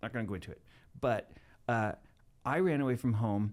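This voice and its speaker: A man with a Maritime Canadian accent. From Canada, Nova Scotia (Halifax area). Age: 60s. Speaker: TV producer and filmmaker. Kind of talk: podcast interview storytelling.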